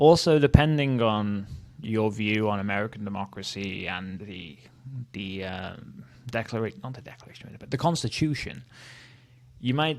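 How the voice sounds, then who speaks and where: A man with a Welsh accent, fairly low in pitch, at a moderate pace with lively intonation. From Wales. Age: 30s. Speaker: history youtuber. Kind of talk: casual commentary. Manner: casual, hesitant with fillers.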